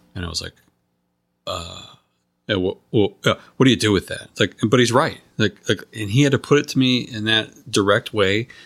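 Heard in a dry, close sound with no echo and a very clean recording over a silent background, a man with a plain, everyday voice talks at a medium pitch and moderate pace with ordinary pitch variation. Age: 50s. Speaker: podcast host in addiction recovery. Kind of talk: interview conversation. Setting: face-to-face recording in a neighbor's house.

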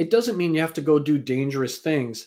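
A man's voice sits fairly high and carries a dark, mellow tone. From Canada. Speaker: speaker and mentor. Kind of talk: interview.

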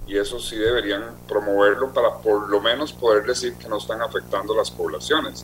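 Over noticeable background noise, a man talks at a moderate pace with hardly any pauses and big swings in loudness. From Costa Rica. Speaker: marine mammal specialist. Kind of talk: interview.

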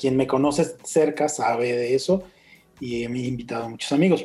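In a Mexican accent, a man with a medium pitch and a dark, mellow, somewhat breathy tone talks at a fairly quick pace with fairly even intonation. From Mexico, Michoacán (Uruapan). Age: 50s. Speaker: concert promoter. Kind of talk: interview conversation.

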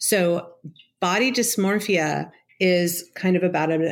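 A woman speaks in a normal speaking voice at a fairly low pitch with ordinary pitch variation. The recording is very clean, with a silent background. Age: 50s. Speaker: psychotherapist. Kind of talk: interview.

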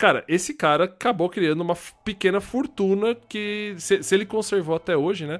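Recorded very cleanly against a silent background, a man with a high pitch speaks at a moderate pace and ordinary pitch variation. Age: 30s. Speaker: podcast co-host, game collector. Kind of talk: casual chat.

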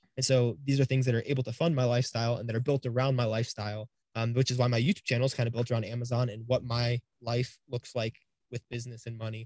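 A somewhat breathy man with an American accent, medium pitch and monotone, flat intonation at a very fast pace, in a dry, close sound with no echo. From Cleveland, Ohio. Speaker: online reseller and YouTuber. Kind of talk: casual interview.

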